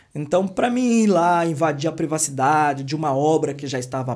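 The man's voice sits fairly high for a man and shows ordinary pitch variation, with a quiet background behind it. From interior of São Paulo state, Brazil. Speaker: construction entrepreneur and YouTuber. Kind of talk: casual interview. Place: studio. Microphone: studio mic.

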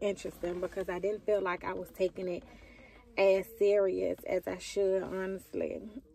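A woman at a moderate pace, in a dry sound with no echo. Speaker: vlogger. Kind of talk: casual vlog chat. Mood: relaxed, bored, chatty. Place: car. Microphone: phone near.

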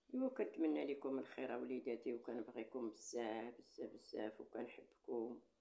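A woman at a moderate pace with hardly any pauses. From Morocco. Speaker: YouTuber. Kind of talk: casual monologue to viewers; casual vlog chat. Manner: animated. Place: home room. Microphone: phone near.

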